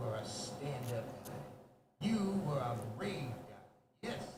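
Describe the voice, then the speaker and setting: A man uses a put-on character voice with a menacing tone, medium pitch and very slow pace, with slight echo. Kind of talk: video game voice acting. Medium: video game. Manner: mocking, menacing.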